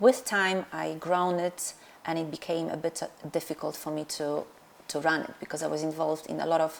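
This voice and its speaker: A woman speaks with a Polish accent at a very deep, low pitch. Her pace is fairly quick and her intonation fairly even. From Poland. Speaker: dentist and practice owner. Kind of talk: interview. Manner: halting, many fillers.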